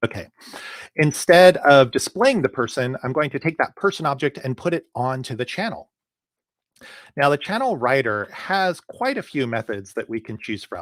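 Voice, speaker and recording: Here a man talks at a fairly high pitch. His pitch swings very widely. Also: dry, close sound with no echo, very clean recording, silent background. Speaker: software developer trainer giving a technical talk. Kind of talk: live-streamed technical presentation with code demo. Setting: live stream to a user group. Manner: fast.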